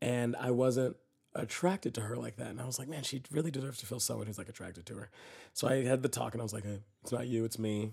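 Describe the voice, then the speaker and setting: Somewhat breathy and animated in tone, a man with an American accent talks at a very fast pace. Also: medium pitch for a man, ordinary pitch variation. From Texas. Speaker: actor and comedian. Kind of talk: casual interview chat.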